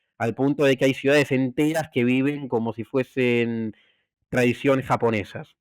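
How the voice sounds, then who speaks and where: A man speaks with an Argentine accent and fairly even intonation, recorded very cleanly against a silent background with a dry, close sound and no echo. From Argentina. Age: young. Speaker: cybersecurity expert and novelist. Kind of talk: interview answer.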